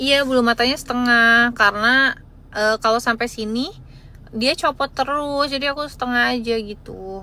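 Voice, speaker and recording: With a bright, sharp tone and high pitch, a woman speaks at a moderate pace with fairly even intonation. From West Java (Bandung). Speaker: live-stream seller. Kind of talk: live stream chat. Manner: casual, chatty.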